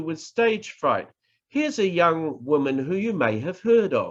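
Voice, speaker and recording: A man with a New Zealand accent talks at a high pitch, his voice swinging very widely up and down. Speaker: professor, public speaking trainer. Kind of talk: online workshop lecture. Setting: online presentation.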